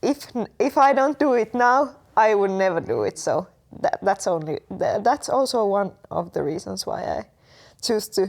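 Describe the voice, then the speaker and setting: In a Finnish accent, a woman speaks at a moderate pace. The recording is very clean, with a silent background. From Finland. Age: 20s. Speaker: exchange student. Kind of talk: casual interview. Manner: halting, many fillers.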